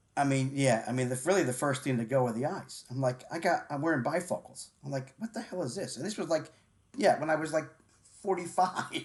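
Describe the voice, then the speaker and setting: A man with a fairly high pitch speaks at a fairly quick pace. His voice is somewhat breathy, with ordinary pitch variation. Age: 60s. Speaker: sports radio host. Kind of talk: casual interview chat. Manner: halting, repetitive.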